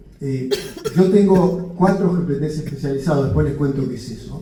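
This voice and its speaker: A man speaks at a fairly slow pace with a fairly high pitch and ordinary pitch variation. The room echo is audible, and there is noticeable background noise. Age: 60s. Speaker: physician lecturer. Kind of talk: lecture. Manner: halting.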